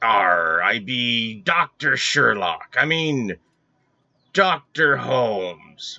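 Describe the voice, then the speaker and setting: Very slowly, a man delivers his lines in a put-on character voice. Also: medium pitch for a man. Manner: playful, silly.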